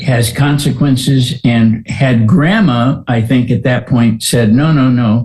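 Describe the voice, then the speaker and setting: A man speaks at a fairly slow pace, medium in pitch with ordinary pitch variation. His tone is dark and mellow, and somewhat breathy. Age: 80s+. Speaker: gender-dysphoria counselor. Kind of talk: interview.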